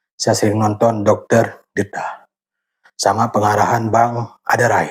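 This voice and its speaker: A man with an Acehnese accent, medium pitch, monotone, flat intonation and a somewhat breathy sound. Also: fairly slow pace. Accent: Acehnese accent, may sound harsh to outsiders. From Aceh, Indonesia. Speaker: YouTuber sharing workout routine. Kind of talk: casual vlog talk during exercise. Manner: halting, a bit stiff.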